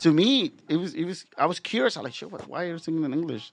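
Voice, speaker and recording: Against a quiet background, a man with a Spanish accent speaks at a very fast pace with lively intonation. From Mexico, Guadalajara. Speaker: musician. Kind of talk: casual chat. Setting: studio.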